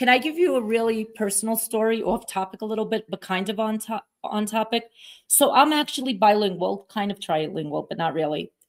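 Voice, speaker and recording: Fairly quick talk with lively intonation in a Brooklyn accent. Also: woman, fairly high pitch for a woman. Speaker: podcast host. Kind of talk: interview. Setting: at a conference.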